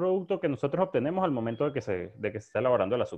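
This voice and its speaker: This man speaks with lively intonation. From Venezuela, Maracay. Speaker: bartender, rum specialist. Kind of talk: casual interview.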